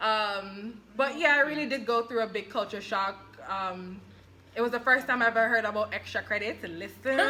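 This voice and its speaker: A woman with a fairly high pitch talks in an animated tone against noticeable background noise. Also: ordinary pitch variation, moderate pace. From Jamaica. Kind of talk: casual chat.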